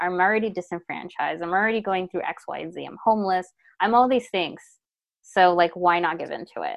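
In a plain, everyday voice, a woman speaks at a medium pitch and a fairly quick pace with ordinary pitch variation. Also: big swings in loudness. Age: 30s. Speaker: public health program manager. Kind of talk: casual chat.

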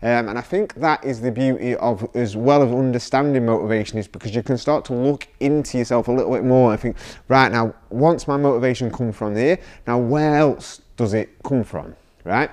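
Talking at a moderate pace, a man uses a medium pitch with ordinary pitch variation. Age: 30s. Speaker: fitness coach and podcast host. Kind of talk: solo motivational talk. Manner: halting, many fillers.

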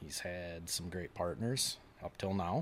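At a very slow pace, a man speaks with a very deep, low pitch and ordinary pitch variation. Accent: Upper Midwest. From Wisconsin, La Crosse / River Falls. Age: 40s. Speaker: tournament bass angler. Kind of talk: casual chat.

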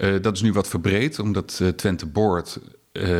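There is ordinary variation in the man's pitch as he talks. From Netherlands, The Hague. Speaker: lobbyist, former radio journalist. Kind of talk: casual interview.

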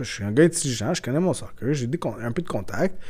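A somewhat breathy man with a dark, mellow tone talks at a fairly quick pace, his pitch swinging very widely. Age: 30s. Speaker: football scout. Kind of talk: casual interview. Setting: café.

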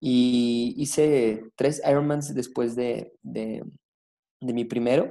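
A man speaks at a very slow pace in a medium pitch. His tone is dark and mellow, and his intonation monotone and flat. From Zacatecas, Mexico. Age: 20s. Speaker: race director. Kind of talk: interview.

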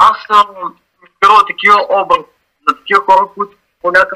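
A man raises and projects his voice, high in pitch and bright, sharp in tone. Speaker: graffiti artist. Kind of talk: interview. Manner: halting.

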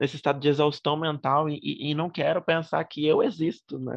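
This man has a plain, everyday voice at a fairly high pitch and a moderate pace. The sound is dry and close with no echo, over a quiet background. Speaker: podcast host. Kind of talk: casual chat.

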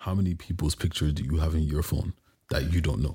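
A man at a fairly quick pace, slightly mellow with a slightly husky edge and ordinary pitch variation, on a very clean recording with a silent background

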